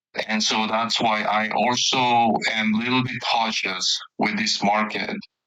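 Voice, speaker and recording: A man speaks at a fairly low pitch, with audible room echo. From South Korea. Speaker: market commentator. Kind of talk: casual discussion.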